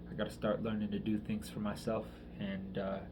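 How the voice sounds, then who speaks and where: In a room with audible echo, a man talks at a moderate pace with a fairly low pitch. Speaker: vlogger. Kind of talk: personal video diary. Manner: halting, many fillers.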